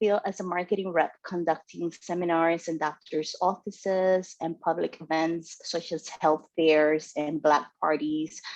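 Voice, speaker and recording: A woman speaks at a fairly slow pace with a Spanish accent. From Dominican Republic. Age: 40s. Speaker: club member giving first speech. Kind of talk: prepared speech.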